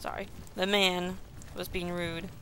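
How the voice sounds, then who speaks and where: Audible room echo surrounds this woman's voice. Her pitch sits in the medium range. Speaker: gaming video creator. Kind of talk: let's play commentary. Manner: animated.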